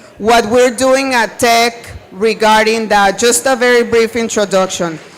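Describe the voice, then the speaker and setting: Fairly slow speech in a Spanish accent over noticeable background noise. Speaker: university sustainability staff. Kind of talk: panel discussion. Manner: animated.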